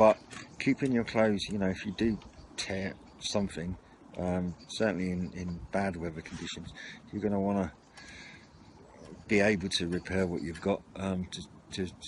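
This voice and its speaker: A man's fairly low voice moves at a moderate pace with fairly even intonation, recorded dry with no echo and light background noise. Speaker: hobby radio vlogger. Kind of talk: casual product show-and-tell. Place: garden. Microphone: camera far.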